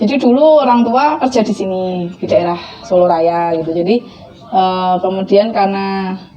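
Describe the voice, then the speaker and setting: Amid noticeable background noise, a woman with a Javanese accent talks at a moderate pace and medium pitch with lively intonation. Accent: Javanese-accented Indonesian. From Central Java (Blora), Indonesia. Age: 30s. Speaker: convert telling her story. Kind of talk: testimony interview. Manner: casual, with fillers.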